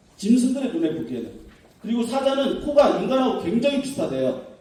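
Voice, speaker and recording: A high-pitched man with very wide pitch swings, audible room echo and noticeable background noise. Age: 50s. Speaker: professor. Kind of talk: academic conference lecture. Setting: conference hall with audience.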